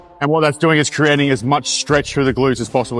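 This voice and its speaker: With music in the background, a man talks at a very fast pace in a monotone, flat intonation. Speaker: fitness coach. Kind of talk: exercise form tutorial.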